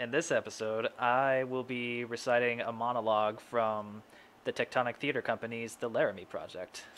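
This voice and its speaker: A man speaks at a moderate pace in a monotone, flat intonation. Light background noise sits behind him. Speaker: voice channel host. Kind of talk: casual vlog chat. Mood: friendly, a bit shy. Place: home room. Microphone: studio mic.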